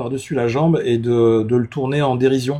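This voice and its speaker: The delivery has a dark, mellow tone, a moderate pace and ordinary pitch variation. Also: man. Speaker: UFO content creator. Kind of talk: live stream conversation. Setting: live stream. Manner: hesitant, many fillers.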